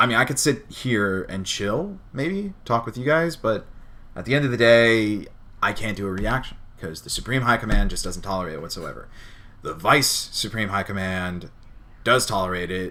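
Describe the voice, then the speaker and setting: With an American accent, a man talks at a moderate pace in a bright, sharp tone, his intonation lively and his loudness swinging widely. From New Jersey. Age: 20s. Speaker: streamer. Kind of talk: casual chat. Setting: live stream.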